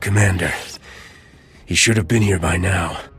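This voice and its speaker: A raspy, put-on character voice from a man, very deep and low in pitch, at a moderate pace with fairly even intonation and music in the background. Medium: video game. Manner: military, clipped.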